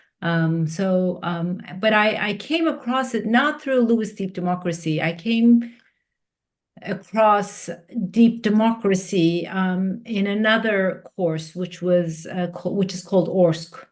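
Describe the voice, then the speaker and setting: A woman speaks in a Turkish accent at a very slow pace. Her pitch variation is ordinary. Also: medium pitch for a woman. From Turkey. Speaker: executive coach and facilitator. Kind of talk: podcast interview. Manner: halting, many fillers and restarts.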